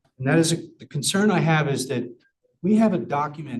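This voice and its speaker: Ordinary pitch variation in a somewhat breathy male voice. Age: 60s. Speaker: public commenter at school board meeting. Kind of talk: public comment. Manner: halting.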